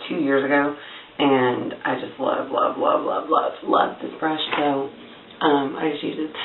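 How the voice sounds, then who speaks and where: Soft-spoken, a woman with a very deep, low pitch talks at a moderate pace. The room echo is audible, and background noise is noticeable. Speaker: beauty vlogger. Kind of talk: tutorial. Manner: casual, filler-heavy.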